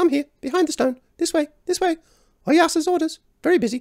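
This is a put-on character voice at an extremely high pitch. It moves at a fairly quick pace. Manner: impatient.

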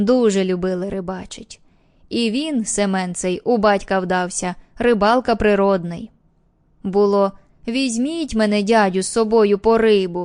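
In a plain, everyday voice, this woman talks at a medium pitch. Her pitch variation is ordinary, and her pace is fairly slow. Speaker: audiobook narrator. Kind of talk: audiobook reading of an old fisherman telling a story, in character.

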